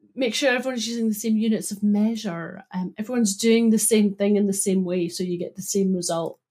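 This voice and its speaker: In a Scottish accent, a woman speaks at a fairly quick pace with hardly any pauses. Her tone is dark and mellow, somewhat breathy, with fairly even intonation. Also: medium pitch for a woman. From Scotland, Broughty Ferry (Dundee). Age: 40s. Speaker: data consultant. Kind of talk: casual interview.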